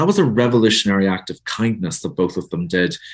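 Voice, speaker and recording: Over a quiet background, a man with a Northern Irish accent speaks at a fairly quick pace and a fairly low pitch. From Northern Ireland. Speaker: author. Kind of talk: casual interview chat.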